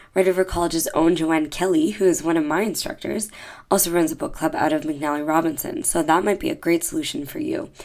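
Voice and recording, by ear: Fairly quick and fairly even in intonation, a woman speaks with a low pitch and a slightly mellow tone.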